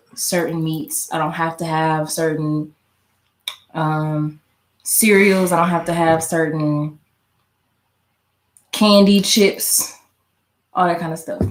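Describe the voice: With audible room echo, a woman speaks at a slow pace in a low pitch, with little pitch movement and long, frequent pauses.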